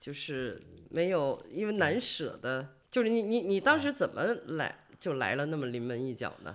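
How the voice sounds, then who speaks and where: Very wide pitch swings mark this woman's speech. Her pitch sits very deep and low, and her pace is moderate. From China, not Beijing. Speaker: podcast host. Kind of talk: interview. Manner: hesitant, many fillers.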